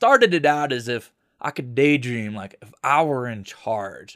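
Speaking with an American accent, a man comes through on a very clean recording against a silent background. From Florida, Tallahassee. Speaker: podcast host. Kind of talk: solo opinion monologue. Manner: casual, conversational.

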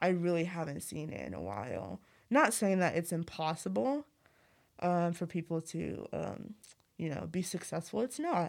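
A woman speaks with a fairly low pitch and vocal fry. The recording is very clean, with a silent background. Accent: Midwestern US. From Zimbabwe, raised in Missouri. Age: 20s. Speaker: college student. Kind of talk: casual interview chat. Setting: studio.

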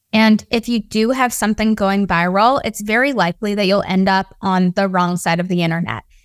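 A woman talks in a normal speaking voice at a medium pitch with ordinary pitch variation. Her pace is moderate, and the sound is dry and close with no echo. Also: very clean recording, silent background. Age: 20s. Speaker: social media strategist. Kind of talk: casual chat.

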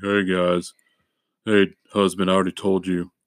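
A man's put-on character voice, very deep and low, flat and monotone, at a moderate pace. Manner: mock, dismissive.

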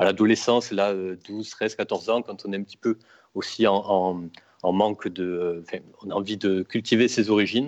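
Against a quiet background, the speaker's intonation is fairly even. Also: man. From Toulouse, southwest France. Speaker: bookseller, Occitan studies graduate. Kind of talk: casual chat. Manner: halting, many hesitations.

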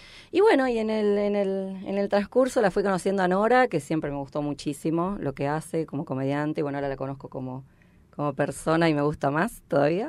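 A woman with a plain, everyday voice speaks at a fairly quick pace in a fairly low pitch, her intonation lively, on a very clean recording with a silent background. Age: 50s. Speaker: stand-up comedian. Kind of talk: casual chat.

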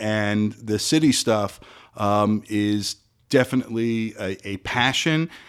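An ordinary speaking voice from a man with an American accent, at medium pitch with ordinary pitch variation. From South Florida. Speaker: attorney and city commissioner. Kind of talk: interview.

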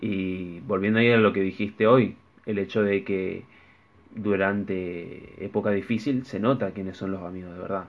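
This man has an unremarkable speaking voice with a fairly low pitch. He speaks at a moderate pace with fairly even intonation. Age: 20s. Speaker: podcast co-host. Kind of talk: casual chat.

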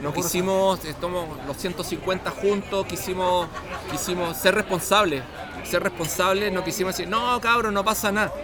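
Amid crowd noise and audible room echo, a man with a Chilean accent uses a raised, projected voice, high in pitch, at a moderate pace with fairly even intonation. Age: 40s. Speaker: long-distance cyclist. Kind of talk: casual chat. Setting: bar.

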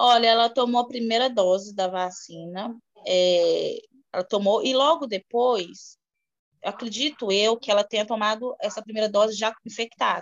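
Pitch variation is ordinary. The pace stays moderate. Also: woman, fairly high pitch for a woman. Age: 30s. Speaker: preschool worker. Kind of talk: interview about grief. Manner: halting.

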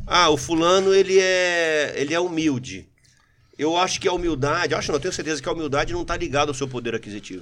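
This man talks very fast in a fairly high pitch. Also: ordinary pitch variation. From Brazil, São Paulo region (Mauá), born in Rio. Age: 40s. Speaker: retired military police sergeant and politician. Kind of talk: casual interview chat. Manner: animated.

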